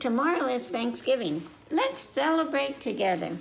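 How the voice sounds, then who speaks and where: Clear background noise runs under a woman's put-on character voice. She talks at a moderate pace in a fairly high pitch, with very wide pitch swings. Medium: read story.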